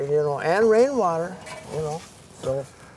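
A man is speaking. The sound is dry with no echo, but noticeable background noise is present. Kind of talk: interview answer. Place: forest.

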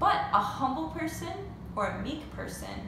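A woman speaks in a room with audible echo, with noticeable noise in the background. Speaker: teacher. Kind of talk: lesson for children. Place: home room. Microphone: phone near.

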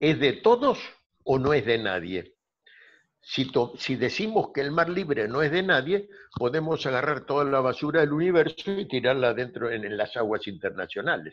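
The speaker has an Argentine accent and a moderate pace. Their pitch swings very widely. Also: man. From Argentina, Buenos Aires. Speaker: law professor. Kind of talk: interview. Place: home room. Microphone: video call.

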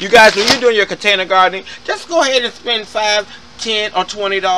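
A man's raised, projected voice with ordinary pitch variation over light background noise. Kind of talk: casual gardening tutorial. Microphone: phone near.

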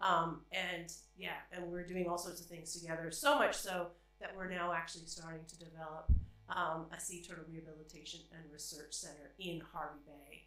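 Strong room echo surrounds a woman whose fairly low voice has a bright, sharp tone, little pitch movement and a moderate pace.

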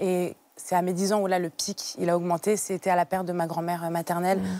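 In a dry sound with no echo, a woman talks at a fairly quick pace with a medium pitch and fairly even intonation. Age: 20s. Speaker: guest sharing personal story of childhood obesity; TV guest. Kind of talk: testimony. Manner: halting with frequent hesitations. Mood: calm, personal, reflective. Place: studio. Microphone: lapel.

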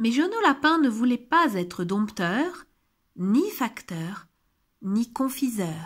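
A woman speaks at a very slow pace, with a warm, gentle tone and a fairly high pitch. Her pitch swings very widely, and the recording is very clean with a silent background. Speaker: audiobook narrator. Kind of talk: scripted children's picture-book reading aloud, storytelling with gentle character lines. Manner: warm, gentle, sing-song storyteller pace; animated, changing tone for each relative's quoted lines.

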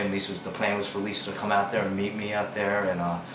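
The man's pitch sits fairly low. Noticeable background noise runs underneath. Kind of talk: interview answer. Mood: wry, reflective. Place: home room.

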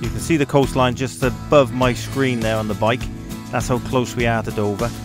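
A man at a moderate pace with ordinary pitch variation, clear background music, and a dry sound with no echo. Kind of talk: casual vlog commentary. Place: motorbike. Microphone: helmet.

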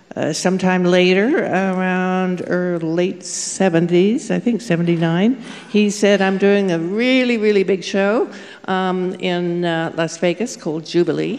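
A woman talks with fairly even intonation. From England, raised in Canada. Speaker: costume designer and author. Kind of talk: panel discussion, reminiscing. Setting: stage with live audience. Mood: reminiscing, relaxed. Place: stage. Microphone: handheld.

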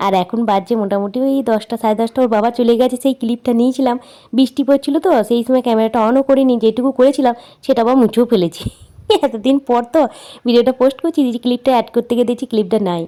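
A woman's high-pitched voice, dark and mellow in tone, with fairly even intonation and a dry, close sound with no echo. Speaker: cooking vlogger. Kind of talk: casual vlog narration.

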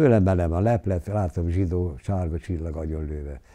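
In a quiet background, a man with a very deep, low, somewhat breathy voice and a dark, mellow tone speaks at a moderate pace with ordinary pitch variation. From southern Slovakia, Hungarian minority. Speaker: war eyewitness; witness. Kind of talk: interview testimony. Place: home room. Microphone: lapel.

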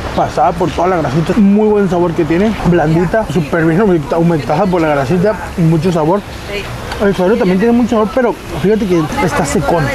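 A man with a high pitch talks at a fairly quick pace, with ordinary pitch variation and very even loudness, amid noticeable background noise. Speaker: food reviewer. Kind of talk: food review commentary. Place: street. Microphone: lapel.

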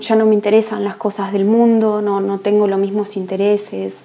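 A woman speaks at a fairly slow pace in an Argentine accent, her intonation monotone and flat. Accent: Argentine Spanish (Rioplatense, voseo). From Argentina. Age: 30s. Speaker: woman giving her conversion testimony. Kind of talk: testimony. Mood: calm, earnest, reflective. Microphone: earbuds.

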